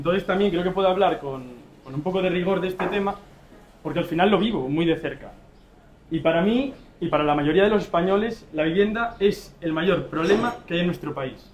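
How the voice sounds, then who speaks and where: In an Asturian accent, a man talks at a fairly quick pace with a high pitch and ordinary pitch variation. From Asturias, Spain. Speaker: civil society representative. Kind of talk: panel debate.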